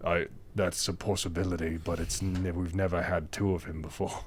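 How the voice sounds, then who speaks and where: Putting on a character voice, a man talks at a very deep, low pitch and a moderate pace against clear background noise. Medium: actual play. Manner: hesitant, rambling.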